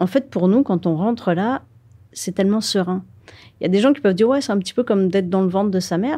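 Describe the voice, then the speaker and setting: A woman's medium-pitched voice has a dark, mellow tone and races along at a very fast pace. The recording is very clean, with a silent background. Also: ordinary pitch variation. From northern France (Nord). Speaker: filmmaker and underwater explorer. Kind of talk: interview.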